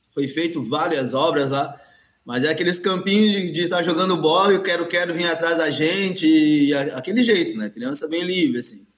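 A high-pitched man's voice with audible room echo. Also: ordinary pitch variation, moderate pace. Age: 50s. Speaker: capoeira master. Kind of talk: casual interview.

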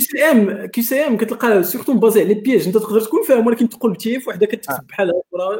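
Very fast and with hardly any pauses, a man speaks at a high pitch with ordinary pitch variation. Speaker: software engineer. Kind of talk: casual chat.

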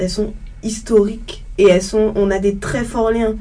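Audible room echo surrounds a woman talking at a fairly slow pace with a fairly high pitch. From Guadeloupe (Le Gosier). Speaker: student. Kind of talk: panel discussion.

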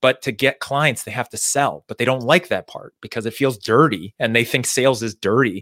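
A man with a normal speaking voice and ordinary pitch variation, in a dry, close sound with no echo, on a very clean recording with a silent background. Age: 40s. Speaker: sales consultant and author. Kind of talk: casual interview. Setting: live video stream.

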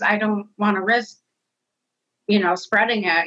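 This is a woman with a normal speaking voice at a medium pitch. She keeps a moderate pace with ordinary pitch variation. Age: 30s. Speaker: nursing assistant and COVID long hauler. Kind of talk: personal testimony interview.

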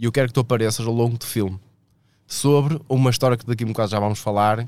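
A man at a very fast pace, medium in pitch, with fairly even intonation. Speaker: comedian, podcast co-host. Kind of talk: casual chat. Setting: studio, live stream.

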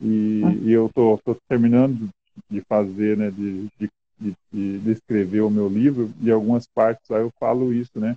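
Flat and monotone, a man talks at a fairly slow pace in a fairly low pitch. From northern Paraná, Brazil. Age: 40s. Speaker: social project leader. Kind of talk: interview. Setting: video call. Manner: halting.

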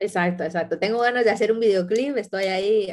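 A woman talks in an unremarkable speaking voice at a fairly quick pace. Her pitch is medium, with ordinary pitch variation. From Ecuador, moved to Spain at 12. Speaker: photographer and designer. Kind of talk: interview.

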